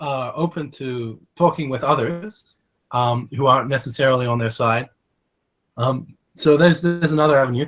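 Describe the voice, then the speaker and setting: In an American accent, a man talks at a moderate pace with ordinary pitch variation. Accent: slight American-tinged Australian. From Australia. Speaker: online commentator. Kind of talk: casual chat. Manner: halting.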